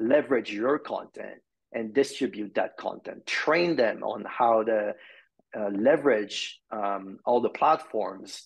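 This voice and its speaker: A man with a Quebec accent at a very slow pace against a quiet background. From Quebec, Montreal. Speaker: marketing executive; podcast guest. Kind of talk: interview. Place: home room. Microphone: video call.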